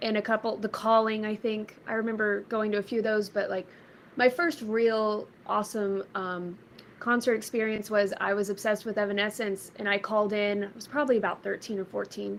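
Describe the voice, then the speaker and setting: This woman has an ordinary speaking voice with a fairly high pitch. She speaks in an American accent. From Texas, Red Oak south of Dallas. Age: 30s. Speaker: musician. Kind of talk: interview. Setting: live stream.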